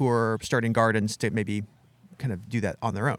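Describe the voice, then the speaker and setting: The man has a plain, everyday voice at a medium pitch. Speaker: podcast host. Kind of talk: interview. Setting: outdoors at garden center.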